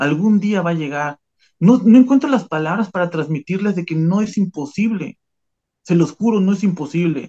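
A man's voice, high in pitch, has a dark, mellow tone. He talks at a moderate pace with ordinary pitch variation. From Mexico, Veracruz. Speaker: immigrant worker. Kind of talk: testimony.

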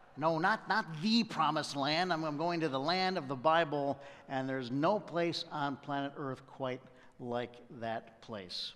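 A fairly slow pace and ordinary pitch variation. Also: man. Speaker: preacher. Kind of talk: sermon. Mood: warm, humorous. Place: church. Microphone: headset.

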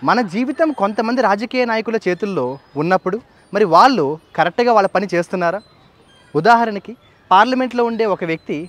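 A man speaks with a high pitch and lively intonation. The sound is dry, without echo. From Andhra Pradesh, Kakinada; Andhra Pradesh. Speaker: English professor and political party worker; English professor. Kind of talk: political speech to camera. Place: garden. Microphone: phone near.

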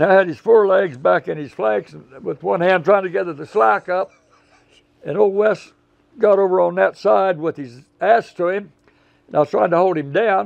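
His voice sits high for a man. Behind him, the setting is quiet. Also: moderate pace. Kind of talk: interview answer. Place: garden. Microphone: lapel.

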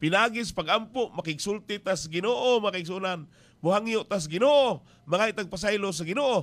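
Using lively intonation, a man talks at a moderate pace. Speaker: radio preacher. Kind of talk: radio sermon. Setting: radio station. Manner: earnest, exhortative preaching. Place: booth. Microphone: studio mic.

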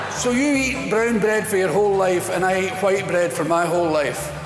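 A man with a Scottish accent at a moderate pace, clear music in the background. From Scotland. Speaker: stand-up comedian. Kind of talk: stand-up comedy routine. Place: stage. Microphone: lapel.

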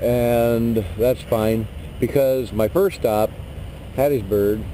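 A man with ordinary pitch variation, in a dry sound with no echo over light background noise. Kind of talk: tutorial. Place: street. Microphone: phone near.

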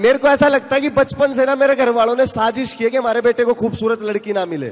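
At an extremely high pitch, a man speaks at a fairly quick pace with fairly even intonation. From Haryana, India. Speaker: stand-up comedian. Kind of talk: live stand-up comedy to an audience. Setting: outdoor event stage with PA system. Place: stadium. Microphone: handheld.

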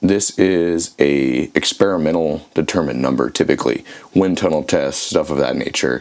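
A man with a very deep, low pitch and ordinary pitch variation talks at a moderate pace over noticeable background noise. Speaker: archery educator. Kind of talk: tutorial.

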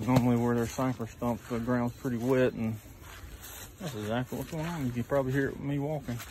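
A man with an American accent at a fairly quick pace with fairly even intonation, a dry sound with no echo, and noticeable background noise. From US South, Mississippi. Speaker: lawn care business owner, vlogger. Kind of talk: walkthrough vlog narration. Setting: outdoors, customer's yard. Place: garden. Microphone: phone near.

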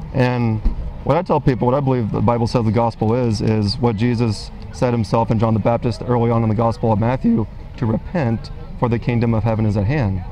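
Over faint music in the background, a man talks at a very fast pace, his pitch medium, his loudness very even and his intonation fairly even. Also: dry sound with no echo. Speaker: street preacher. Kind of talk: one-on-one debate. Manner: not raising voice now, conversational. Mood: earnest, persuasive. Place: market. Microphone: lapel.

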